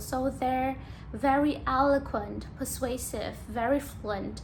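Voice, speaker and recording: A woman speaks at a very slow pace. The room echo is audible. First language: Vietnamese. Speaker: YouTuber practicing English. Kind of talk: casual monologue to camera. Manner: halting, with fillers.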